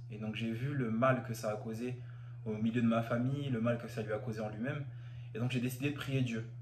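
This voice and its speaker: A man's medium-pitched, monotone, flat delivery at a fairly quick pace, with noticeable background noise and audible room echo. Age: 20s. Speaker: church member giving testimony. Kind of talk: testimony. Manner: halting, with fillers and repetitions.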